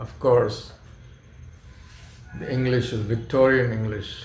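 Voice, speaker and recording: A man's medium-pitched voice with vocal fry, at a fairly slow pace. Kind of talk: casual talk to camera.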